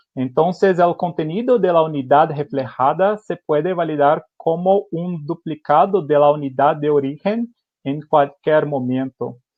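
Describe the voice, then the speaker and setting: Speaking at a fairly slow pace with hardly any pauses, a man uses a fairly high pitch and ordinary pitch variation. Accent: Brazilian. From Brazil. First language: Portuguese (speaking Spanish). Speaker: company engineer presenting technology. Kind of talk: webinar presentation. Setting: online webinar. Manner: halting, many fillers.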